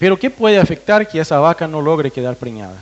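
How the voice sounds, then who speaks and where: Lively intonation from a man with a fairly high voice. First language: Portuguese (speaking Spanish). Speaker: veterinarian researcher. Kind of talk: technical presentation to farmers. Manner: hesitant, with fillers and restarts.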